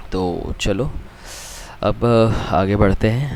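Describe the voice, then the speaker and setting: There is noticeable background noise. A man speaks in a fairly low voice with ordinary pitch variation. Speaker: chemistry teacher. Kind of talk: lecture. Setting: recording from a different place. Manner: casual.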